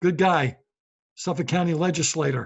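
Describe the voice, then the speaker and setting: A man talks with a New York accent. His pitch is high and his intonation lively. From New York City (Brooklyn). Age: 60s. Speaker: podcast host and comedian. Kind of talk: casual monologue.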